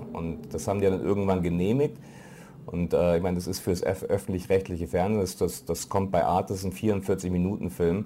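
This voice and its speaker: A man's very deep, low voice with a dark, mellow tone, ordinary pitch variation, and a fairly quick pace. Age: middle-aged. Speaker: foreign correspondent. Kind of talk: lecture. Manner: halting.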